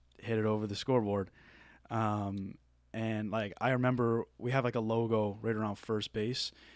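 A man talks in a Maritime Canadian accent with monotone, flat intonation. The recording is very clean, with a silent background. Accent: Maritime Canadian, noticeable. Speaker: college baseball player. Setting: studio.

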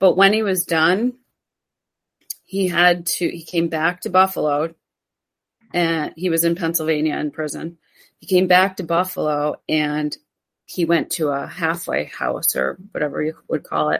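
A woman speaks fairly slowly at a fairly low pitch, with vocal fry, fairly even intonation, big swings in loudness, and long, frequent pauses. The recording is very clean, with a silent background. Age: 50s. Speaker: self care coach. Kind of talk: casual chat.

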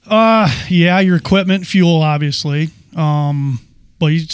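A man with an American accent speaks at a fairly slow pace. His voice is fairly high, with ordinary pitch variation. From Michigan, Fowlerville. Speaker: farmer. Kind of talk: casual chat.

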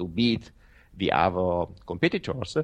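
A man's Italian accent with very wide pitch swings, quiet background. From Italy. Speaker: professional trader. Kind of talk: interview. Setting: remote call. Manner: halting.

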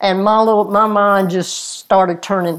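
Speaking with a Lowcountry South Carolina accent, a woman keeps a medium pitch and fairly even intonation. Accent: US Southern (South Carolina Lowcountry). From South Carolina, Orangeburg area. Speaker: retired crime scene investigator and author. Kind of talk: interview.

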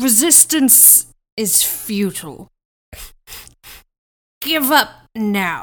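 A woman speaks in a put-on character voice, fairly high in pitch, with very wide pitch swings. Her pace is very slow, with long, frequent pauses. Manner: menacing, threatening.

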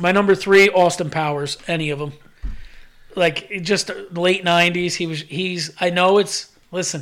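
The speaker talks at a moderate pace with monotone, flat intonation on a very clean recording with a silent background. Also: man, high pitch for a man. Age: 40s. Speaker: podcast co-host. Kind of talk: casual chat.

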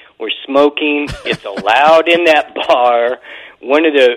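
With music playing behind him, a man talks at a fairly slow pace and a fairly high pitch, with ordinary pitch variation. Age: 60s. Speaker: musician. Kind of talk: casual chat. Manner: halting.

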